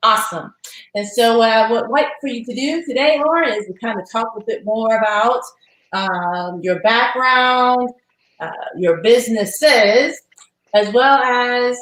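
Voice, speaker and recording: Speaking at a fairly slow pace with an American accent, a woman uses an ordinary speaking voice with fairly high pitch and ordinary pitch variation. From US South (Alabama). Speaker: podcast host, subscription box founder. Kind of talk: interview.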